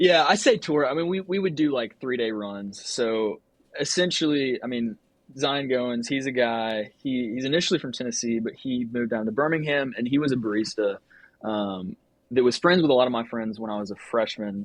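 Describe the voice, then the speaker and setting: An ordinary speaking voice from a man with an American accent, ordinary pitch variation, and a fairly quick pace. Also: medium pitch for a man. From Georgia, US South (Norcross, north of Atlanta). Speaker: photographer and filmmaker. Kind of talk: casual interview chat.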